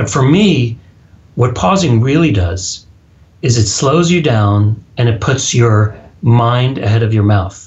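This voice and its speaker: A man speaks at a medium pitch with an American accent. His voice is somewhat breathy. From US Texas. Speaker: public speaking coach and author. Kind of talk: casual interview. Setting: phone or Skype call.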